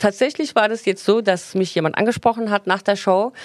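The speaker is a woman with a plain, everyday voice. She uses lively intonation at medium pitch and a moderate pace. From Turkey. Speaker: hairdresser and salon owner. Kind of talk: casual interview chat.

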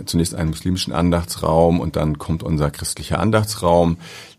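Noticeable background noise under a man's very deep, low voice. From northern Germany, Ahrensburg near Hamburg. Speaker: airport pastor. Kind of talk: interview conversation. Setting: studio.

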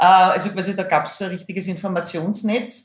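A woman is speaking. She has a Viennese accent. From Lower Austria, Hainburg and Schwechat near Vienna. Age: 50s. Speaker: singer. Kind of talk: casual interview. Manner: loud.

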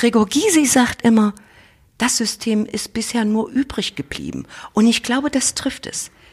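Speech comes at a fairly slow pace in a somewhat breathy voice. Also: woman. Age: 50s. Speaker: state parliament president, politician. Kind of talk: interview. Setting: office.

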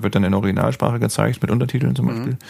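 Against noticeable background noise, a man speaks at a fairly low pitch with lively intonation. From northern Germany, Bremen. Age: 30s. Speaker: whale-watching guide. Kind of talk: casual interview. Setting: in person, same room. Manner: hesitant with many fillers.

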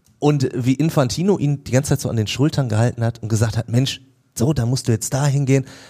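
A man talks at a very fast pace with a medium pitch, ordinary pitch variation, and a dark, mellow, somewhat breathy tone. The recording is very clean, with a silent background. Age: 40s. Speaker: radio host. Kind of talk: casual chat. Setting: studio.

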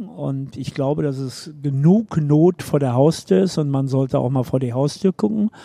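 In a dry, close sound with no echo, a man with a fairly high, dark and mellow voice talks at a moderate pace. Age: 70s. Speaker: sports reporter. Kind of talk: casual chat.

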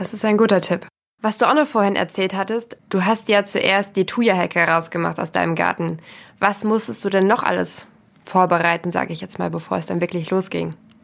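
Medium-pitched woman's voice with vocal fry, ordinary pitch variation and a moderate pace, on a very clean recording with a silent background. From rural Germany. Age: 20s. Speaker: podcast host. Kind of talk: casual interview.

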